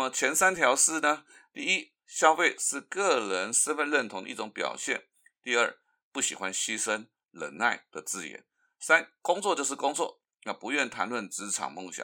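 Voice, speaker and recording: Over a silent background in a very clean recording, a man with a fairly high pitch speaks in a bright, sharp tone with vocal fry and very wide pitch swings. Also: fairly slow pace, big swings in loudness. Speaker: podcast host. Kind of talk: solo commentary.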